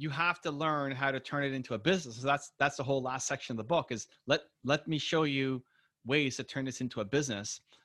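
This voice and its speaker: Over a quiet background, a man with a fairly high pitch talks at a very fast pace in a bright, sharp tone with fairly even intonation. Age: 40s. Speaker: entrepreneur and author. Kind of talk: interview.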